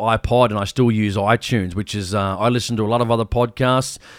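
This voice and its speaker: Talking fairly quickly, a man speaks in an Australian accent. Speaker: hunting podcast host. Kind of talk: casual chat.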